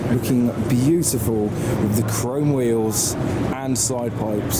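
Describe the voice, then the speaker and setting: With a British accent, the speaker shows ordinary pitch variation over noticeable background noise. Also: man. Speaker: car show vlogger. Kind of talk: car show walkaround narration.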